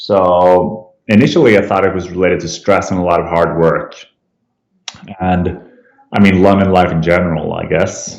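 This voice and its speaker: A man speaks in a very deep, low pitch at a moderate pace. His delivery is a flat monotone, with audible room echo. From Sweden, Stockholm. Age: 30s. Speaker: cancer survivor, app founder. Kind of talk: interview testimony. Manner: hesitant with fillers.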